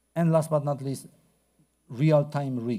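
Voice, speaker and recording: In a Polish accent, a man with a fairly high pitch and a dark, mellow tone speaks on a very clean recording with a silent background. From Poland. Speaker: researcher. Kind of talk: conference talk. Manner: hesitant, many fillers.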